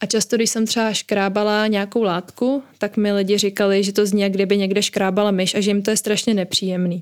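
Talking at a fairly quick pace, a woman keeps her intonation monotone and flat. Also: medium pitch for a woman, very even loudness. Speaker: psychology student and ASMR creator. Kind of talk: interview. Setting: video call from home.

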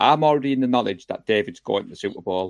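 A man with an English accent, ordinary pitch variation, and a dry, close sound with no echo. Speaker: fan podcast host. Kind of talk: live show casual chat. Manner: excitable; animated.

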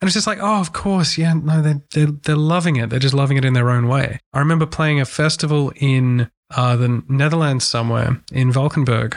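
A man with an Australian accent, fairly high pitch and ordinary pitch variation, at a fairly quick pace with hardly any pauses and very even loudness. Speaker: touring musician. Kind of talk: casual chat. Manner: animated.

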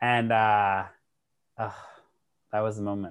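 At a moderate pace, a man with an American accent speaks at medium pitch on a very clean recording with a silent background. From Massachusetts (Worcester). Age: 30s. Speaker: podcast host. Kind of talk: casual chat.

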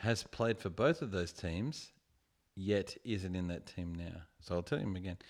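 An animated man in an Australian accent, very deep and low in pitch, with ordinary pitch variation at a moderate pace. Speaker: podcaster guest. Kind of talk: casual drunken chat. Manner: joking, animated.

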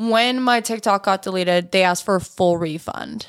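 A woman's ordinary speaking voice at medium pitch and a moderate pace, with ordinary pitch variation, on a very clean recording with a silent background. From Canada. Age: 20s. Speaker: content creator. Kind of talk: casual chat.

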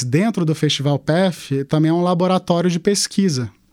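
This man speaks with a Carioca accent. His pitch is high, with ordinary pitch variation. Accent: leans Rio de Janeiro (carioca). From Manaus, Brazil. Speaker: entrepreneur, festival founder. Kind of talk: interview. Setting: studio.

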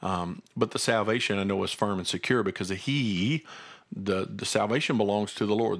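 The recording is very clean, with a silent background. A man with an ordinary speaking voice and fairly low pitch talks at a fairly quick pace. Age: 40s. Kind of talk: casual chat with Bible teaching.

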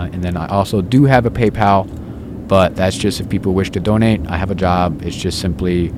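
Noticeable background noise sits behind a man's voice. He has a very deep, low pitch and fairly even intonation. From upstate New York. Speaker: spiritual street activist. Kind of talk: casual interview; spoken-word poetry.

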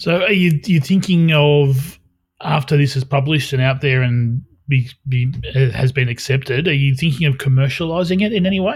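Somewhat breathy and very even in loudness, this voice with an Australian accent moves at a moderate pace with ordinary pitch variation. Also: man, fairly high pitch for a man. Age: 40s. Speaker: podcast host. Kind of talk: casual chat.

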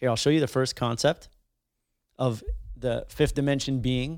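A man's medium-pitched voice at a moderate pace with fairly even intonation, on a very clean recording with a silent background. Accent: Montreal. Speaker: podcast host and musician. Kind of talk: casual chat.

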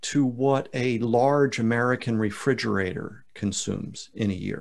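Against a quiet background, a man with a medium pitch uses a plain, everyday voice with lively intonation. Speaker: podcast host. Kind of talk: casual podcast interview.

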